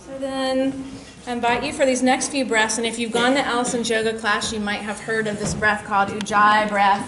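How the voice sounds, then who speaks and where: A soft-spoken woman's fairly high voice at a moderate pace, fairly even in intonation, amid noticeable background noise and audible room echo. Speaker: health coach. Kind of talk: workshop with guided breathing.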